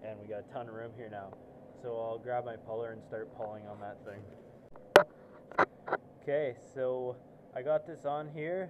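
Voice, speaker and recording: A man speaks at a moderate pace while background noise is clearly noticeable. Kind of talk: tutorial. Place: garage. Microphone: phone near.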